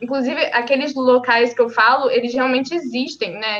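A woman's high voice at a moderate pace, with music in the background. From Brazil, Rio de Janeiro state (São Gonçalo). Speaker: independent novelist. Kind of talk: casual interview. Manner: talkative.

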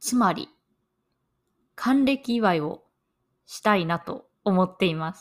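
At a very slow pace, a woman speaks at a medium pitch with lively intonation. The recording is very clean, with a silent background. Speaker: podcast host, Japanese language teacher. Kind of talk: learner podcast monologue. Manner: slow and clear.

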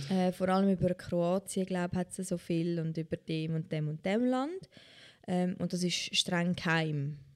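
A plain, everyday voice: a woman's, fairly low in pitch, with fairly even intonation at a fairly slow pace. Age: 20s. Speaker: podcast host. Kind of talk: casual chat.

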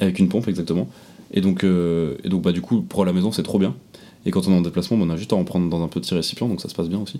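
Very fast speech from a man with a very deep, low pitch, a dark, mellow tone and ordinary pitch variation. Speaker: podcast co-host. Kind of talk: casual chat.

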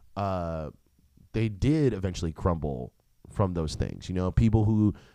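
The recording is very clean, with a silent background. A man with an American accent speaks in a very deep, low pitch and a dark, mellow tone, with ordinary pitch variation. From US Northeast, New Jersey suburbs. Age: 20s. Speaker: comedian, podcast host. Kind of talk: casual monologue.

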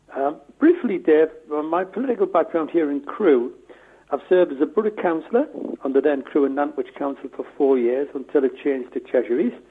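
Lively intonation from a man with a fairly high pitch, set against noticeable background noise. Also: fairly quick pace. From northeast England, near Newcastle upon Tyne. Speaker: town mayor. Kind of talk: interview.

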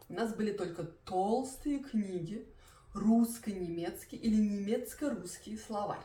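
Heard with audible room echo, a woman speaks very slowly at a fairly high pitch with ordinary variation. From Belarus. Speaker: Russian language teacher. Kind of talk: language-learning tutorial. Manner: clear; moderate pace.

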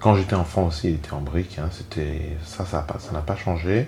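Against noticeable background noise, a man talks in a very deep, low voice. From Rwanda, moved to France as a child. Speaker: genocide survivor, father. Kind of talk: personal testimony. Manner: detached at times; hesitant.

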